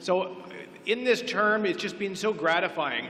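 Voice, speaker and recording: A man with a Canadian accent speaks at a moderate pace against noticeable background noise. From Oak Ridges, Ontario, Canada. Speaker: incumbent councillor candidate. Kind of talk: candidate debate speech. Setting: public event with audience.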